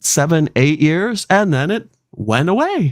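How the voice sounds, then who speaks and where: The dry, close sound with no echo carries a man's fairly high voice. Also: very clean recording, silent background. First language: not English. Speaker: podcast host. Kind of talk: casual chat. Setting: live stream.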